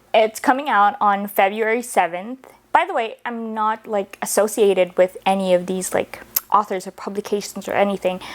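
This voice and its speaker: Noticeable background noise is present. Over it, a woman speaks at a medium pitch. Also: ordinary pitch variation, moderate pace. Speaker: book reviewer. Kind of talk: casual vlog talk.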